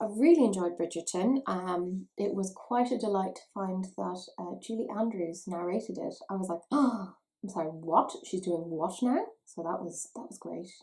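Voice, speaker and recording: A woman in an Irish accent speaks with hardly any pauses, her medium-pitched voice somewhat breathy and dark and mellow in tone, with ordinary pitch variation and big swings in loudness. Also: moderate pace. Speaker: beauty YouTuber. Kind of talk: makeup review vlog. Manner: chatty.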